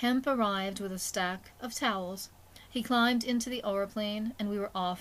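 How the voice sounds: Spoken in a natural reading voice, the clip has ordinary pitch variation.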